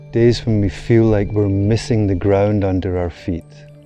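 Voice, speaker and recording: Music plays in the background as a man speaks at a fairly low pitch with ordinary pitch variation. His tone is calm and his pace fairly slow. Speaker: meditation guide. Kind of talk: meditation course promo narration. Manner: slow, calm.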